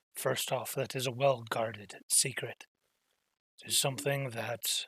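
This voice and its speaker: A man uses a put-on character voice, raspy and medium-pitched, at a fairly slow pace with fairly even intonation. The recording is very clean with a silent background and a dry, close sound with no echo. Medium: virtual streamer. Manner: formal, measured.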